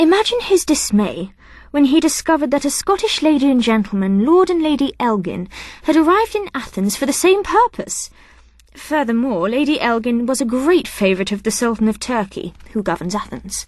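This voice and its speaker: Putting on a character voice, a woman speaks high and breathy at a fairly quick pace, her pitch swinging very widely. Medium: read story. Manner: haughty, airy, disdainful.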